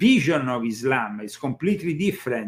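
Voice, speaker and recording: Pitch swings very widely as the speech moves along at a fairly quick pace. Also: man. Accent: Italian. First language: Italian. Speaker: author on secret societies. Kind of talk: interview.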